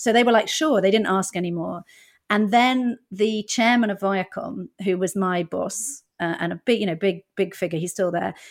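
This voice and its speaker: A woman at medium pitch and moderate pace with ordinary pitch variation, in a very clean recording with a silent background. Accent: British. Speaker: stand-up comedian and former TV executive. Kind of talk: casual interview.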